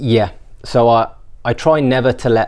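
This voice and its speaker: With a Birmingham accent, a man talks at a moderate pace and medium pitch, using ordinary pitch variation. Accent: Birmingham (Brummie). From England, Birmingham. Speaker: business founder. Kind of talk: interview. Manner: hesitant, repeats words.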